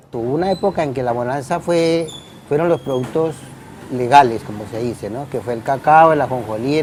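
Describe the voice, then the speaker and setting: Over noticeable background noise, a man with a fairly high pitch talks at a fairly quick pace using ordinary pitch variation. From Tolima, Colombia (Ibagué). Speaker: musician. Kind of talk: oral history interview. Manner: halting, repeats words.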